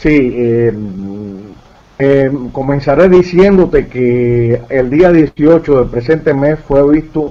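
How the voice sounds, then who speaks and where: Very slow pace with ordinary pitch variation. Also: man. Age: 60s. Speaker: UFO researcher. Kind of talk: interview. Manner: halting.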